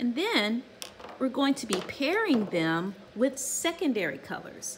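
Light background noise sits behind the recording. A woman speaks at a very slow pace. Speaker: art teacher. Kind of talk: tutorial. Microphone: phone near.

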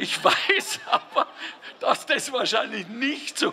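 Crowd noise sounds in the background as a man speaks at a very slow pace. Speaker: guest. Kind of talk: humorous public speech. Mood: jovial, joking. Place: street. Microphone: handheld.

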